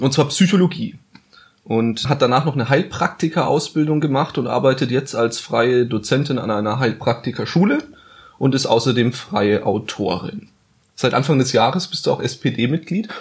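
A somewhat breathy man at medium pitch, with lively intonation and a moderate pace. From Bavaria, Bayreuth (Upper Franconia). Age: 20s. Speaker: podcast host, journalist. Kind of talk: casual chat.

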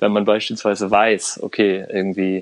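A man at a fairly slow pace. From Germany. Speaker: Iran studies expert and intercultural consultant. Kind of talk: podcast interview. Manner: hesitant, many fillers.

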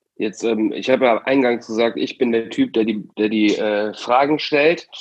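A man speaks at a moderate pace with medium pitch and ordinary pitch variation. It is a plain, everyday voice. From Aachen, Germany. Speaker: youth arts programme leader, podcast host. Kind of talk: casual podcast chat.

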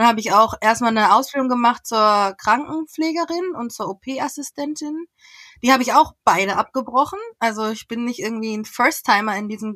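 A woman's high voice with lively intonation, in dry, close sound free of echo. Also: big swings in loudness. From western Germany, Essen (Ruhr area). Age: 30s. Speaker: entrepreneur and agency founder. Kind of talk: podcast interview.

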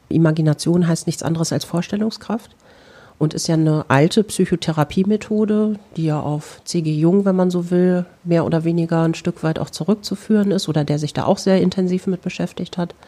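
A woman with an unremarkable speaking voice talks at a fairly quick pace, her fairly low pitch holding fairly even intonation. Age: 40s. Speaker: psychotherapist. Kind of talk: interview monologue.

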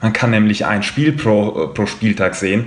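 At a moderate pace, a man with a fairly low pitch speaks in an unremarkable speaking voice. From Frankfurt, Hesse. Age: 20s. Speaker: football fan representative. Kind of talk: podcast discussion.

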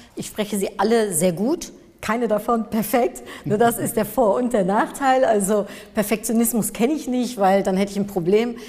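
A woman with an unremarkable speaking voice talks at a fairly high pitch and a moderate pace with ordinary pitch variation. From Germany, near Cologne, Dutch family. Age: 40s. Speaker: marketing expert and speaker. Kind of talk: interview. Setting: studio.

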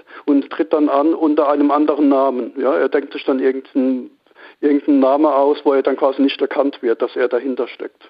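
This man talks at a fairly quick pace in a fairly high pitch. His intonation is monotone and flat. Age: 50s. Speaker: amateur stock trader. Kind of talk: interview.

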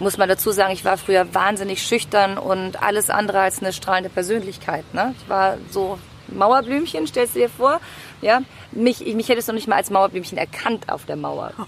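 Noticeable background noise sits behind a woman who speaks at a moderate pace in a medium-pitched voice with ordinary pitch variation. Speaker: singer and speaker. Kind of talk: casual chat. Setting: outdoors.

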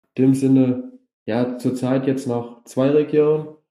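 A man with a medium-pitched voice and a dark, mellow tone speaks fairly slowly in a flat monotone, with audible room echo. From Germany, Westerwald. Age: 20s. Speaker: grass skiing athlete. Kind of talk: interview. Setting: video call.

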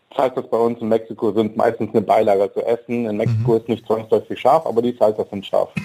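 A man's medium-pitched voice, dark and mellow in tone, at a very fast pace. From Germany, Wolfsburg (born in Mexico, moved at ten). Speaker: chef and food truck owner. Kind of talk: radio interview. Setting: studio.

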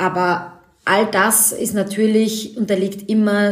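A woman speaks at a fairly slow pace with monotone, flat intonation, and there is noticeable background noise. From Austria, Vienna. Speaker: fashion designer and author. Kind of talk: interview.

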